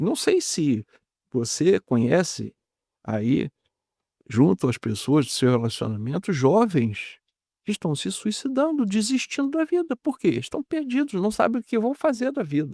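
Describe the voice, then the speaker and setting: In a dry, close recording with no echo, a man speaks fairly slowly in a high, dark, mellow voice that swings very widely in pitch. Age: 70s. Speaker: physician. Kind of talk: interview.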